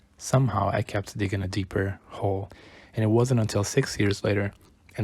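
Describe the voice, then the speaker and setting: A man's fairly low voice comes across as somewhat breathy, with fairly even intonation. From Brazil. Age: 20s. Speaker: YouTuber. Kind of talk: personal vlog monologue.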